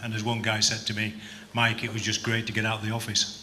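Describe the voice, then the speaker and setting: Very fast, monotone speech from a man at medium pitch, flat in intonation, with noticeable background noise and audible room echo. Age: 60s. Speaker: business convention organiser. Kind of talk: interview at awards event.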